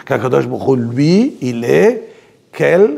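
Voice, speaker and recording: The voice moves at a very slow pace with very wide pitch swings. Noticeable background noise is present. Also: man. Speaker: religious teacher. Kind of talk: religious lecture. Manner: slow, repetitive.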